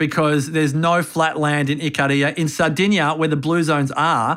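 In a very clean recording with a silent background, a man with an Australian accent speaks at a fairly high pitch. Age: 40s. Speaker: longevity strategist. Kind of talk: interview. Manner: animated.

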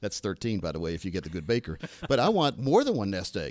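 On a very clean recording with a silent background, a man talks very fast with vocal fry. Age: 50s. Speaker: financial advisor and radio co-host. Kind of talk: casual radio talk show chat. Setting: radio studio.

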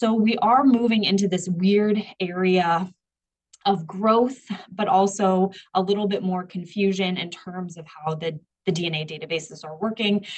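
Her medium-pitched, somewhat breathy voice moves at a fairly slow pace, with ordinary pitch variation and big swings in loudness. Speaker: professor and forensic geneticist. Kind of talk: interview.

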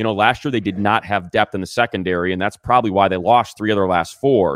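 In a very clean recording with a silent background and a dry, close sound with no echo, a man speaks in a plain, everyday voice at a fairly low pitch with ordinary pitch variation. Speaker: sports radio broadcaster and game analyst. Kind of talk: casual interview chat.

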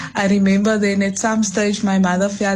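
Over noticeable background noise, a woman speaks at medium pitch. Her intonation is monotone and flat. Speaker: caller. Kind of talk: phone-in call. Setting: phone call.

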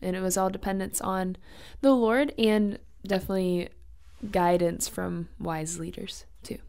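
A woman with an unremarkable speaking voice talks at a fairly slow pace, her pitch medium and its variation ordinary. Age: 20s. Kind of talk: radio interview.

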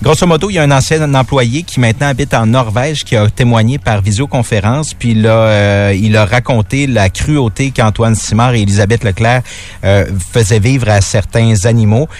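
Speech in a Quebec accent at a moderate pace, with ordinary pitch variation and very even loudness. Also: man, medium pitch for a man. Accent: Québécois French. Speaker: radio news presenter. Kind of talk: news rundown.

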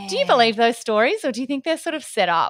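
Her intonation is lively, in an Australian accent. The woman's recording is very clean with a silent background. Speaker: podcast co-host. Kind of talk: casual chat.

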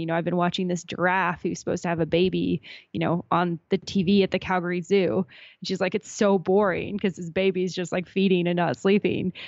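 In a Canadian accent, a normal speaking voice moves at a fairly quick pace with fairly even intonation. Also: woman. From Alberta, Canada. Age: 20s. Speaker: travel podcaster. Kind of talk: interview.

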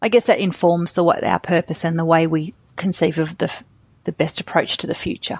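A woman at a fairly quick pace with fairly even intonation, dry and close with no echo, on a very clean recording with a silent background. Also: fairly low pitch for a woman. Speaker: company founder. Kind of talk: interview.

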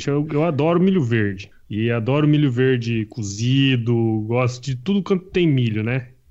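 Here a man has a normal speaking voice at medium pitch with ordinary pitch variation. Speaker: podcast host. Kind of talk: casual chat.

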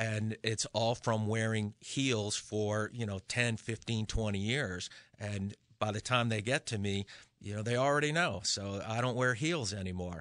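With an American accent, a man talks at a moderate pace in an ordinary speaking voice, his pitch fairly low and intonation fairly even, against a quiet background. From Western Massachusetts. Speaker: podiatrist. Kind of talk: radio interview. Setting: radio studio.

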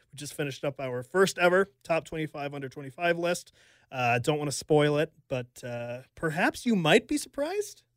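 Over a very clean recording with a silent background and a dry, close sound with no echo, a man with an American accent speaks at a moderate pace in an unremarkable speaking voice, fairly high in pitch, with ordinary pitch variation and big swings in loudness. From Richmond, Virginia. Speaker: sports journalist. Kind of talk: casual chat. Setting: studio. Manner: joking.

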